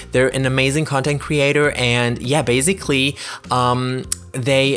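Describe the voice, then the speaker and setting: At a moderate pace, a man with a non-native accent speaks at a medium pitch. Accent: non-native English speaker. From Germany. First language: German. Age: 20s. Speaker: gaming YouTuber. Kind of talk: gameplay commentary voiceover. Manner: halting, many fillers.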